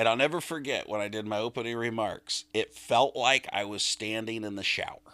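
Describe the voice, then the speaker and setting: Over a very clean recording with a silent background, a man with a bright, sharp tone and medium pitch speaks at a fairly quick pace, with fairly even intonation and hardly any pauses. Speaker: auctioneer. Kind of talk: interview answer. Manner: casual, conversational.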